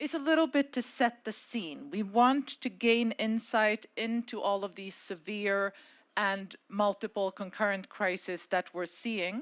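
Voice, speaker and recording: Against a quiet background, a woman talks at a fairly slow pace with a fairly high pitch and ordinary pitch variation. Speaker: panel moderator, policy advisor. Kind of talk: conference panel moderation. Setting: conference stage with audience and microphone. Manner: loud.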